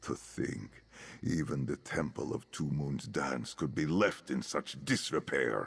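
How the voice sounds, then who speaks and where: A man talks at a fairly slow pace in a put-on character voice, on a very clean recording with a silent background. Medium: video game. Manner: formal, solemn.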